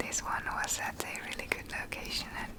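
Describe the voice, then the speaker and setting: Someone whispers over noticeable background noise. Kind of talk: ASMR home tour voiceover. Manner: whispered; rambling.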